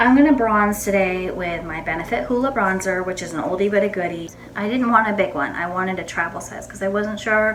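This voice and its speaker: Over noticeable background noise and audible room echo, a woman of medium pitch talks at a fairly quick pace, with ordinary pitch variation and big swings in loudness. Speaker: beauty vlogger. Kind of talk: casual makeup tutorial. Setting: home bathroom. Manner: quiet; subdued.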